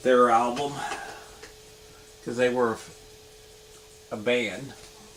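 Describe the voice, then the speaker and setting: A man talks at a very slow pace in a monotone, flat intonation, with audible room echo and noticeable background noise. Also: medium pitch for a man. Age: 50s. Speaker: vinyl record collector vlogger. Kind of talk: casual show-and-tell video. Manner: halting, many fillers.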